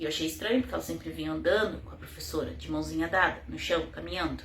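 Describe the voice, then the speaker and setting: A woman talks amid noticeable background noise, with audible room echo around her. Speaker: mother telling her child's case. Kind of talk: personal testimony.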